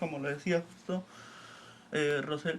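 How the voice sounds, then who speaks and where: A man speaks with fairly even intonation. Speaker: community organizer. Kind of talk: panel discussion.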